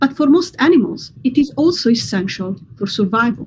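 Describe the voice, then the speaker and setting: A voice with an Italian accent speaks at a moderate pace. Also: woman. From Italy. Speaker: neuroscientist. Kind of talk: science explainer for kids. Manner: scripted, clear.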